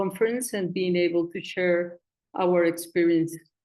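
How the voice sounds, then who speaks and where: A woman's medium-pitched voice with a Spanish accent, in a flat monotone. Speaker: community foundation coordinator. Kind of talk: conference presentation.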